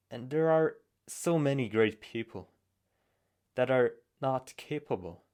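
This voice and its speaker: A man's medium-pitched voice, fairly slow and lively in intonation, with long, frequent pauses. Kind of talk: personal reflective monologue.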